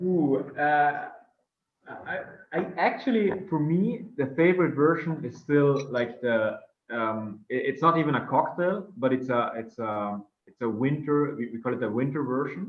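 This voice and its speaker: A man speaks fairly slowly in a South Tyrolean accent. His pitch is fairly high and his intonation lively. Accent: German-speaking South Tyrolean. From northern Italy (South Tyrol). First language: German. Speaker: drinks entrepreneur. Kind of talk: interview. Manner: halting, many fillers.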